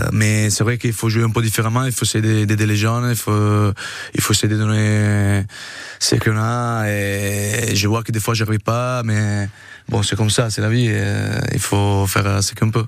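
Over noticeable background noise, a man with a fairly low pitch speaks at a fairly slow pace in a monotone, flat delivery. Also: very even loudness. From Italy. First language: Italian (speaking French). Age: 30s. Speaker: rugby player. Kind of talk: radio interview. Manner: halting.

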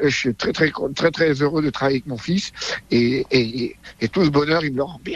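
Using ordinary pitch variation, a man with a fairly high voice speaks at a moderate pace. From France, Drôme. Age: 60s. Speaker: magician. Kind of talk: interview.

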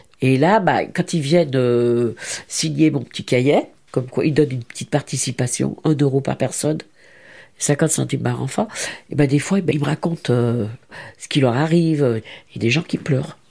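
A woman's very deep, low voice, dark and mellow with vocal fry, at a moderate pace with ordinary pitch variation. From France, Lyon (Saint-Fons). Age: 70s. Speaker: retired charity volunteer. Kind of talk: interview testimony.

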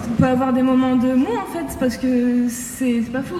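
A woman with a high-pitched voice talks at a moderate pace in a room with audible echo and noticeable background noise. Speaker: law graduate. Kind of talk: panel talk. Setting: lecture hall with audience.

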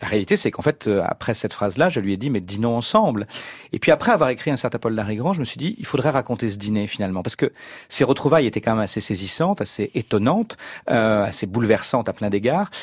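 Very fast speech with lively intonation is captured in a very clean, dry, close recording with no echo and a silent background. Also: man, medium pitch for a man. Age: 50s. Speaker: novelist. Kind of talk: radio interview.

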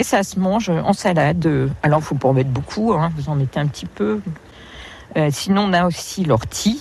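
A woman's very deep, low voice with very wide pitch swings, a moderate pace and long, frequent pauses, against noticeable background noise. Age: 50s. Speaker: wild plant guide. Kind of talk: outdoor field interview. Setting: outdoors. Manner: hesitant, with many fillers.

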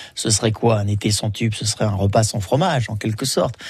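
The man speaks at a medium pitch, and his voice carries a bit of breathiness. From Menton, French Riviera. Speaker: radio host. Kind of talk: live radio presenting. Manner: animated.

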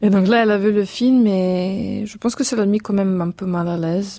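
The voice is dark and mellow, with a Serbian accent. It moves at a moderate pace with fairly even intonation. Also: woman. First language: Serbian (speaking French). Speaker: film director. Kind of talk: radio interview. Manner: halting.

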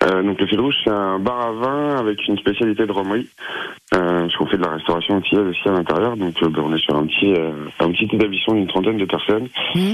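The speaker is a man with ordinary pitch variation. He talks fairly quickly. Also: fairly low pitch for a man. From Picardy coast, Somme (France). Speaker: wine bar manager. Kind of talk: radio interview. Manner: halting, many fillers.

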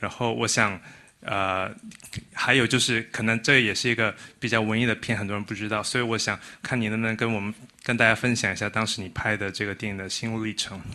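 Against a quiet background, a man talks at a very fast pace in a fairly low pitch, his tone bright and sharp and his intonation monotone and flat. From Malaysia. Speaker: audience member. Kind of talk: audience question.

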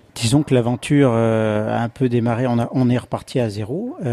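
A man speaks at medium pitch with ordinary pitch variation and a fairly slow pace. The sound is dry and close, with no echo. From Haute-Loire, Auvergne (Le Puy-en-Velay). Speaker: chef and restaurant owner. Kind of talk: interview. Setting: restaurant. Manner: halting.

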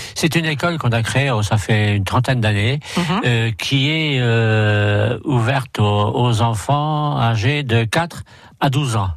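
A man at a medium pitch speaks at a very slow pace, with ordinary pitch variation and very even loudness. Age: 60s. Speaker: motorcycle club president. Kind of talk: radio interview. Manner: halting.

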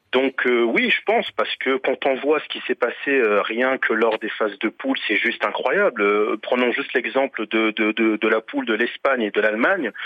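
This man has an unremarkable speaking voice at a medium pitch, with ordinary pitch variation. He keeps a moderate pace with hardly any pauses. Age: 30s. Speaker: caller. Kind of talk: casual chat.

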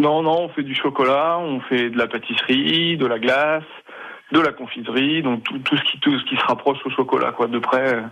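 A man's voice at medium pitch, with ordinary pitch variation and a moderate pace. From Poitou, France (near Châtellerault). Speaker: chocolatier. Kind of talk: radio interview. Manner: halting.

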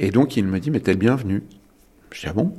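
Over a very clean recording with a silent background, a man speaks with vocal fry and very wide pitch swings. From Île-de-France. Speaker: farmer. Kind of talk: testimony. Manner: halting.

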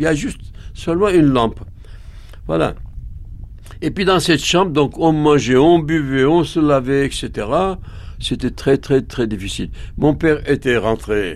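A man with a fairly high pitch speaks at a fairly slow pace with long, frequent pauses and ordinary pitch variation, against noticeable background noise. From Bulgaria, Armenian family. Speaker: Armenian immigrant witness. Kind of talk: testimony.

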